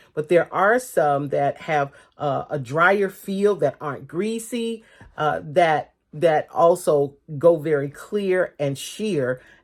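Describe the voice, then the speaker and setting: A woman speaks very slowly at a fairly low pitch. Her intonation is lively. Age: 60s. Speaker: makeup artist and skincare business owner. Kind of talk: tutorial. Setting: cosmetics studio. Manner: halting, many fillers.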